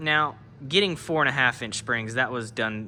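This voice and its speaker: With lively intonation, a man talks at a moderate pace while noticeable background noise plays behind him. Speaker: car builder showing a vehicle project. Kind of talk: casual workshop video tutorial.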